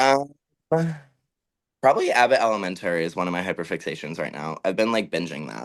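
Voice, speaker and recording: A man with an American accent and very deep, low pitch speaks at a very fast pace in an animated tone. His pitch swings very widely, and he takes long, frequent pauses. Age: 20s. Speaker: drag performer. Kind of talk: casual chat; sales pitch.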